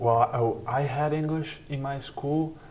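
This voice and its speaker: A man with a Serbian accent speaks amid audible room echo. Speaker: college basketball player. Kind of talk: interview. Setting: sit-down interview.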